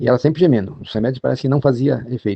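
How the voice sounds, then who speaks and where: A man's voice with ordinary pitch variation. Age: 70s. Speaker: storyteller sharing a personal account. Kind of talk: personal testimony. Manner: halting, with hesitations and repetitions.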